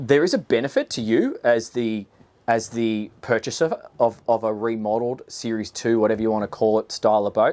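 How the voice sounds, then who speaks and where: With an Australian accent, a man speaks at medium pitch. His intonation stays fairly even. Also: fairly quick pace, very clean recording, silent background. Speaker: boat reviewer, former boat salesman. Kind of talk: video walkthrough presentation. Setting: outdoors on a boat. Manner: casual, conversational with fillers.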